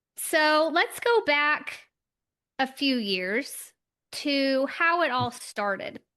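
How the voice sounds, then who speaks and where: Raised and projected, a woman's high voice has a bright, sharp tone and moves very slowly with very wide pitch swings. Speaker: podcast host. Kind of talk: interview questions. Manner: upbeat.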